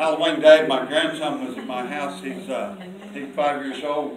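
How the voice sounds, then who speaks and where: There is light background noise. A man's voice carries audible room echo. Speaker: lay preacher. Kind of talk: sermon testimony and prayer. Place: church.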